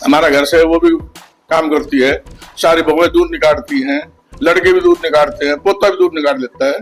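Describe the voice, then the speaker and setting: A man speaks at a moderate speed while music plays behind him. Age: 60s. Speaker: businessman and family patriarch. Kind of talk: interview. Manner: casual, conversational.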